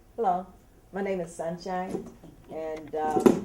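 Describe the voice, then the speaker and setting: A woman with an American accent and fairly even intonation, amid noticeable background noise. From Detroit, Michigan. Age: 60s. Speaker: student. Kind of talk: group discussion.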